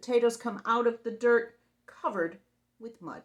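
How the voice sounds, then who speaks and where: Using a put-on character voice, a woman speaks at a moderate pace with a fairly high pitch. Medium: read story. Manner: brash, bossy.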